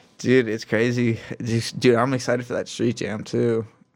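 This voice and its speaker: In an ordinary speaking voice, a man with an American accent talks at a moderate pace. His pitch sits in the medium range and his intonation stays fairly even. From Michigan. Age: 20s. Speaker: pro scooter rider. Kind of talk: casual chat.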